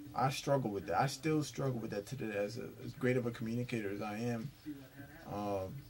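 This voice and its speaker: A man moves at a fairly quick pace with ordinary pitch variation while noticeable background noise runs underneath. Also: medium pitch for a man. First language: Spanish. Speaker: vlogger / commentator. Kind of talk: casual monologue commentary. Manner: halting, many fillers and restarts.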